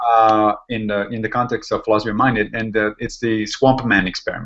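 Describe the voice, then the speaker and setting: Speaking at a fairly quick pace in an Italian accent, a man keeps his medium-pitched voice monotone and flat. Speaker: podcast host, philosopher. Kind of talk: casual chat.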